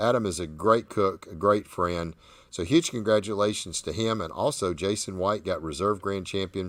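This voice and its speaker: A man with a Southern US accent on a very clean recording with a silent background. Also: fairly low pitch for a man, ordinary pitch variation, moderate pace. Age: 60s. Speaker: barbecue competition host. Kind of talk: live show chat.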